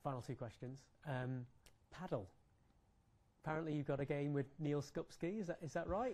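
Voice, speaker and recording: Speaking in an English accent, a man has a fairly high pitch and a dark, mellow tone, with long, frequent pauses. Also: ordinary pitch variation, moderate pace. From England. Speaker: sports journalist. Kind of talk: press conference. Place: hall.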